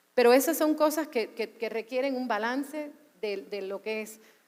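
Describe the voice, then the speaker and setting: A woman with a Cuban accent speaks at a moderate pace in a fairly high pitch. Her tone is animated and her intonation lively. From US, Cuban American. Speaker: media executive. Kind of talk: panel discussion. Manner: animated, with repetitions.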